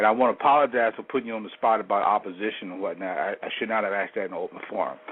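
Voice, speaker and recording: Speaking with an American accent, a man goes at a very fast pace. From United States. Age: 60s. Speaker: caller. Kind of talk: call-in question. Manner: halting.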